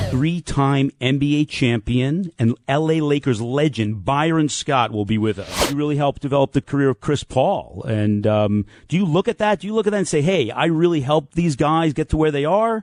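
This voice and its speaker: Using a normal speaking voice, a man talks at a moderate pace with hardly any pauses, a fairly high pitch, lively intonation and very even loudness. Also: dry, close sound with no echo. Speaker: radio talk show host. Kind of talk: sports talk radio.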